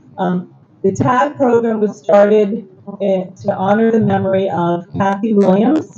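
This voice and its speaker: A woman speaks with ordinary pitch variation, her voice carrying audible room echo over noticeable background noise. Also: medium pitch for a woman, fairly slow pace. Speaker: religious school education director. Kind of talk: speech at temple awards event. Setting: temple service with audience. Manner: loud.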